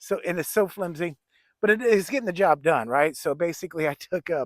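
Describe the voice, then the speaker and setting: A man with a plain, everyday voice, fairly high pitch and a fairly quick pace, in a dry, close sound with no echo. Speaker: bushcraft vlogger. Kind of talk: casual outdoor vlog. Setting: outdoors at backyard camp.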